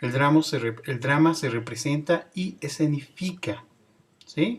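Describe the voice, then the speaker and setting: The male speaker's voice is somewhat breathy and fairly high. His pitch varies in an ordinary way. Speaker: teacher. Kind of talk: lecture.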